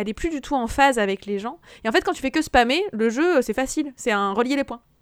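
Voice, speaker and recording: High-pitched woman's voice with lively intonation at a fairly quick pace, in a very clean recording with a silent background. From France, Haute-Savoie. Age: 30s. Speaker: video game podcast guest. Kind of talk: casual chat.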